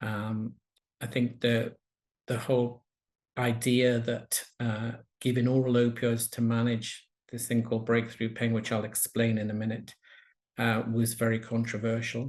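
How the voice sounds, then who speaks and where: In a quiet background, a man talks at a fairly slow pace with a medium pitch, monotone, flat intonation, and long, frequent pauses. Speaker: palliative medicine professor. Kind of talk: lecture. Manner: slowed down on purpose.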